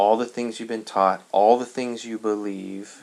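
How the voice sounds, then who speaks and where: This is a man with a fairly low pitch. His intonation is monotone and flat. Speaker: religious video lecturer. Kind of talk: monologue lecture. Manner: slow, many pauses; halting, thinking aloud.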